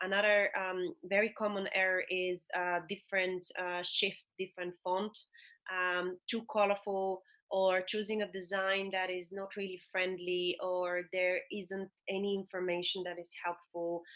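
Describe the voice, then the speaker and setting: A woman with a non-native accent speaks at medium pitch with a bright, sharp tone. Her delivery is fairly slow and monotone, with flat intonation, against a quiet background. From Bulgaria. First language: not English. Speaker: HR and remote work consultant. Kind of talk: podcast interview.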